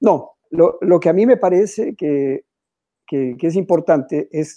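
Against a quiet background, a man with a high pitch and a dark, mellow tone speaks with lively intonation. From Ecuador, Quito; Ecuador. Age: 60s. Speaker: painter; interviewee. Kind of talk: interview. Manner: halting. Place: home room. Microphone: video call.

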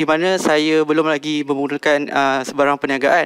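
Speech comes at a fairly slow pace over a quiet background. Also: man. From Malaysia, Selangor (Shah Alam); Selangor, Malaysia. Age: 20s. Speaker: contestant in a business pitch competition. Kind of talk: business pitch and Q&A. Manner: halting, many fillers. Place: studio. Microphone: headset.

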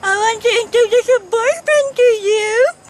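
Using a put-on, squeaky character voice at an extremely high pitch, a woman speaks at a moderate pace with fairly even intonation over light background noise. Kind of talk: amateur comic acting. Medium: short film. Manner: eager, fussy. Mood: matchmaking.

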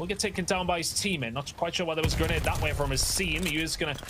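A man speaks at a very fast pace with a fairly high pitch. Noticeable background noise runs underneath. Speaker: esports commentator. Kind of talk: live esports commentary. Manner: animated, rapid play-by-play.

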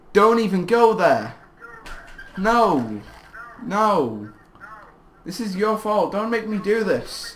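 The speech moves at a very slow pace with long, frequent pauses. Background noise is noticeable. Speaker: YouTuber. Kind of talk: casual chat. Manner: halting.

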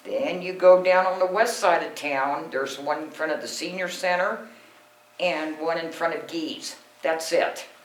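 Over noticeable background noise, someone with an American accent speaks at a moderate pace. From US Pacific Northwest, Washington. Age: 60s. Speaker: resident speaking at council meeting. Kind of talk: public comment presentation. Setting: city council meeting room.

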